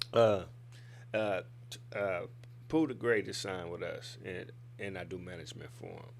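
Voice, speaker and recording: A man with a Detroit accent and fairly low pitch speaks at a moderate pace with vocal fry, ordinary pitch variation, big swings in loudness and long, frequent pauses, all with audible room echo. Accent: Midwest (Detroit). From Fort Worth, Texas. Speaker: rapper. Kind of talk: casual interview. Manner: laid back.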